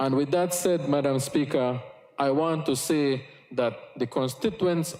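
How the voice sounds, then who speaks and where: A man with a Yucatán accent, fairly high pitch, ordinary pitch variation and a fairly slow pace, over noticeable background noise. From Belize, Cayo district Maya village. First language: Yucatec Maya. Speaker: politician. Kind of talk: parliamentary speech. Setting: parliament chamber. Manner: formal.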